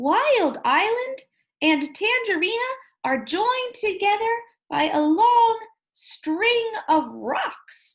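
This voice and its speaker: In a put-on character voice, a woman talks very slowly at an extremely high, squeaky pitch. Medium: read story. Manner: gentle, polite.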